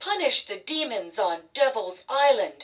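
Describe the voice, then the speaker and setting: In a put-on character voice, a female-sounding voice speaks very slowly at a high pitch. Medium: read story. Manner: proud.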